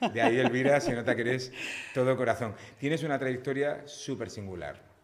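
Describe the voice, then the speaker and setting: A man speaks at a fairly quick pace with fairly even intonation over noticeable background noise. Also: medium pitch for a man. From Spain, Cartagena (Murcia). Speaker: podcast host. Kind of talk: interview.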